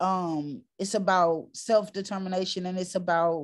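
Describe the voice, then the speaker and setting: A woman in a New York accent talks at a medium pitch. Her intonation is monotone and flat, and the recording is very clean with a silent background. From New York, Harlem. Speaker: community organizer. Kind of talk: panel discussion.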